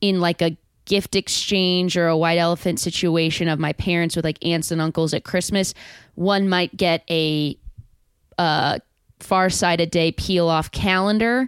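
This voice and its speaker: A normal speaking voice moves at a fairly slow pace with fairly even intonation and very even loudness. The sound is dry and close with no echo, on a very clean recording with a silent background. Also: woman. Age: 30s. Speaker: actor and improviser. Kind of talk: casual chat.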